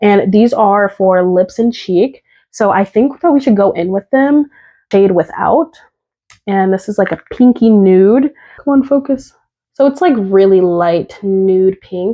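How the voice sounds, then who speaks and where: A woman speaks at a fairly slow pace with lively intonation and medium pitch. She has an unremarkable speaking voice. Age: 20s. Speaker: beauty content creator. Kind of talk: casual talk to camera. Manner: casual, chatty.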